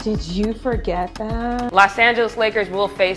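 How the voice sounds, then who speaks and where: Music plays behind a woman with a fairly high pitch. Her tone is energetic. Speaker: sports reporter. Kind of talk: sports news broadcast reel. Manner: energetic, conversational.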